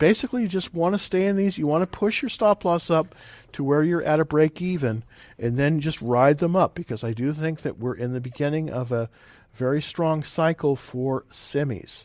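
Against a quiet background, a man speaks at a moderate pace with lively intonation and a fairly high pitch. The sound is dry and close, with no echo. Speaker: stock trading livestream host. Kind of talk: live market commentary. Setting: live video stream. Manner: halting, many fillers.

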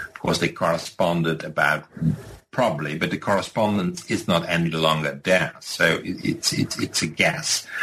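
There is noticeable background noise. Through it, a man is talking. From Netherlands, Rotterdam. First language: Dutch. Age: 50s. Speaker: professor. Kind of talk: interview. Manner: halting.

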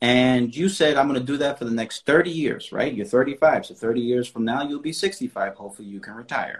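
At a moderate pace, a man with medium pitch and ordinary pitch variation talks in a normal speaking voice. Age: 30s. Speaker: finance coach. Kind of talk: casual chat.

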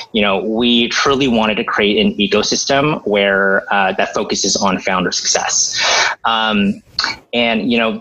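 Against noticeable background noise, a man with an American accent speaks at a medium pitch with fairly even intonation. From Los Angeles suburbs, Diamond Bar. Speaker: entrepreneur and startup accelerator leader. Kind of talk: casual interview. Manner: halting with many fillers.

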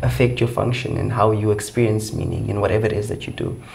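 A man speaks with a South African accent. Noticeable background noise and audible room echo surround him. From South Africa, Eastern Cape. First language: Xhosa. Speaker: occupational therapy student. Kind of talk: interview.

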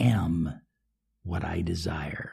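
Somewhat breathy, a man's voice comes through with a dark, mellow tone. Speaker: self-help coach. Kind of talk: motivational talk.

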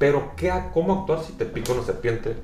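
Speaking at a fairly quick pace, a man is heard with audible room echo and noticeable background noise. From northwest Mexico, Sonora. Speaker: tourism professional and overlanding enthusiast. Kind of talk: casual interview. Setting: coffee shop. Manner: hesitant, many fillers.

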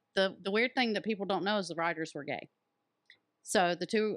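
A woman talks in a normal speaking voice at a medium pitch with ordinary pitch variation. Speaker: host's mother. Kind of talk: casual family chat.

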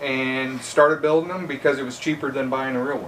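A man speaks with an American accent. Noticeable background noise sits behind him. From northeast Indiana, US Midwest. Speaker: truck driver and part-time polisher. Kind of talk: casual chat.

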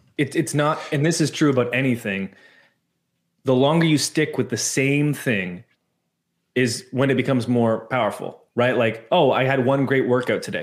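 This is a normal speaking voice at a moderate pace with ordinary pitch variation. Loudness stays very even on a very clean recording with a silent background. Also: man, medium pitch for a man. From Canada. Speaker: church media entrepreneur. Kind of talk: casual interview chat.

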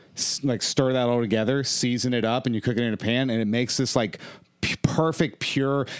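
Here is a man with an unremarkable speaking voice in a medium pitch. He talks at a fairly quick pace with fairly even intonation. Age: 30s. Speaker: stand-up comedian. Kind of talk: casual chat.

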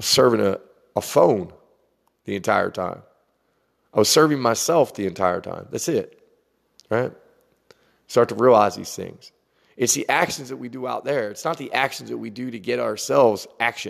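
This man has a medium-pitched voice with vocal fry. He leaves long, frequent pauses. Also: ordinary pitch variation, moderate pace. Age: 40s. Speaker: spiritual podcaster. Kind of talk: spiritual monologue. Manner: meandering, conversational.

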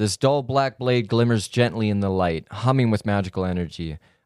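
A man speaks in an ordinary speaking voice, pitched fairly low. His pace is moderate and his intonation lively. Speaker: tabletop game player. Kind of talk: casual banter during tabletop game.

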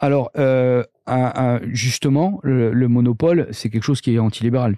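A man's normal speaking voice at medium pitch, with a moderate pace and fairly even intonation. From Corsica, Corse-du-Sud. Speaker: tech entrepreneur. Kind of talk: casual interview.

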